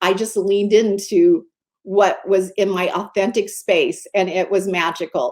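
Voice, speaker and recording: A woman with an unremarkable speaking voice talks at medium pitch with lively intonation on a very clean recording with a silent background. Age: 60s. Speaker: mindset coach and magazine editor. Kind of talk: interview.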